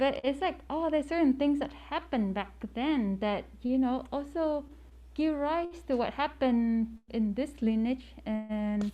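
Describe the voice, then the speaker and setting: A woman's fairly high pitch in a dark, mellow tone, with lively intonation at a fairly slow pace. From Vietnam, emigrated young. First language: Vietnamese. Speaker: meditation teacher. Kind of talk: dharma talk. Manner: halting, many fillers.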